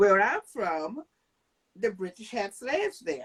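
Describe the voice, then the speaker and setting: A woman with a Guyanese accent speaks at a fairly slow pace. Her medium-pitched voice has a dry, close sound with no echo. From Guyana. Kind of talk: panel discussion.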